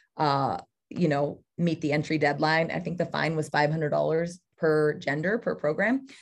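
A woman with an American accent speaks in an ordinary speaking voice, fairly low in pitch, at a moderate pace against a quiet background. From California, Central Valley. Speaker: college cross country head coach. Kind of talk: podcast interview.

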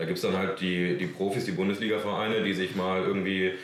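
Noticeable background noise and audible room echo surround a man talking at a very fast pace. His pitch is fairly low. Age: 20s. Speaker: amateur footballer. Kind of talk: casual chat. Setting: on location at a club.

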